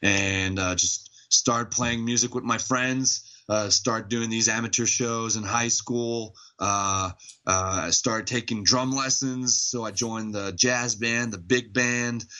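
Keeping his intonation fairly even, a man talks at a fairly slow pace and medium pitch. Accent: Quebec. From Montreal, Quebec. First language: French. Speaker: metal band vocalist. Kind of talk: casual interview chat. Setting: Skype call. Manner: hesitant, many fillers.

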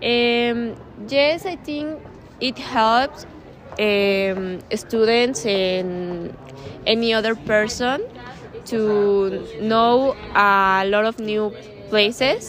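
At a very slow pace with long, frequent pauses, a woman with a Spanish accent and fairly high pitch speaks with ordinary pitch variation over noticeable background noise. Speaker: student. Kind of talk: interview. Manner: halting, hesitant.

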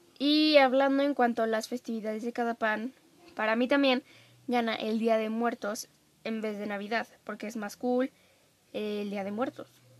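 A woman with a Mexican accent speaks at a moderate pace, her pitch fairly high and her intonation fairly even. Her loudness swings widely, and the sound is dry and close with no echo. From Mexico. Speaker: podcast host. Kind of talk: casual solo monologue. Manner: chatty, filler-heavy.

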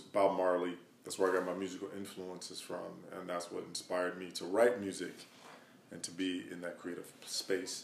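Monotone, flat intonation at a moderate pace, with an American accent and audible room echo. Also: man. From Wisconsin, US Midwest. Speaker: hip hop artist and songwriter. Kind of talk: interview. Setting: home studio.

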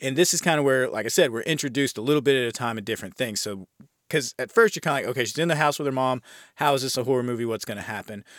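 Very fast and with an American accent, a man speaks at medium pitch with ordinary pitch variation in a very clean recording with a silent background. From United States. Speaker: podcast host, horror film reviewer. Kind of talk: casual podcast monologue, film review. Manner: casual, chatty, profane.

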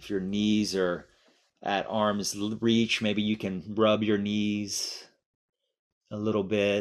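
In a calm tone, a man speaks very slowly at a fairly low pitch, his delivery flat and monotone with long, frequent pauses. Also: very clean recording, silent background. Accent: American. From Miami, US. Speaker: language teaching director and mindfulness teacher. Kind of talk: guided meditation; guest interview. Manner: slow, calm.

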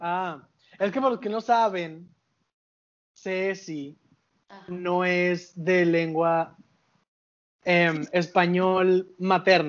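A man speaks very slowly in a high voice with fairly even intonation. He takes long, frequent pauses. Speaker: podcast co-host. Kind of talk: casual chat.

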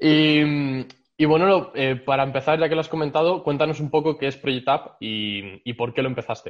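A man's fairly high pitch, with ordinary pitch variation, at a moderate pace in a normal speaking voice. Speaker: podcast host. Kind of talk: interview conversation.

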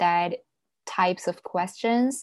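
On a very clean recording with a silent background, someone with a Chinese accent speaks at a fairly slow pace with fairly even intonation. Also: woman. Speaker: social media content creator, graduate student. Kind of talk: casual interview. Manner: hesitant, frequent fillers.

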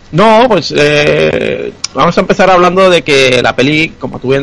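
Over noticeable background noise, a man's voice makes very wide pitch swings. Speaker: podcast co-host. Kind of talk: casual chat. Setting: video call.

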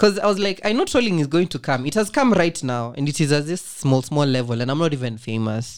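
This man has a fairly high pitch and very wide pitch swings, talking at a fairly quick pace. The recording is very clean, with a silent background. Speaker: communication student. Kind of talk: casual chat.

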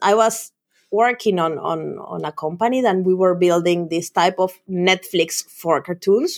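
A woman's medium-pitched voice with a Spanish accent, at a fairly slow pace. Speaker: developer advocate. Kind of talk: casual chat.

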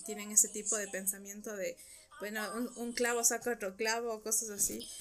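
Here is a normal speaking voice from a woman at a fairly high pitch. She talks at a fairly quick pace. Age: 20s. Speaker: clinical psychologist. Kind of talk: casual chat.

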